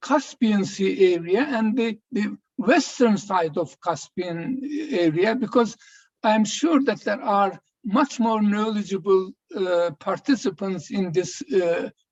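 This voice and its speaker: The speaker has a Georgian accent and lively intonation. The pace is very slow. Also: man, high pitch for a man. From Turkey. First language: Mingrelian. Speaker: former minister. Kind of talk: round table presentation.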